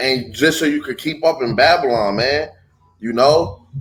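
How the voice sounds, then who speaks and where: Somewhat breathy and animated in tone, a man speaks at a fairly slow pace with a fairly high pitch and ordinary pitch variation. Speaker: street preacher. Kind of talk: bible study lesson.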